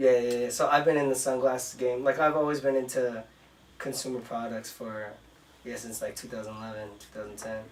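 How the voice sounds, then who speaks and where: This is an ordinary speaking voice: a man at a medium pitch with fairly even intonation. He talks at a fairly quick pace, with big swings in loudness. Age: 30s. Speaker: entrepreneur. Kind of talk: interview.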